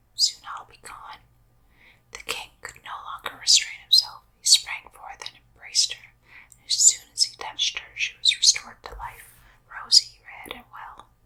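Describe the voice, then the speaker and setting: A woman whispers, her loudness swinging widely. Noticeable background noise sits behind her. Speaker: ASMR whisper reader. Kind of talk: bedtime story reading. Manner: whispered, soft, slow.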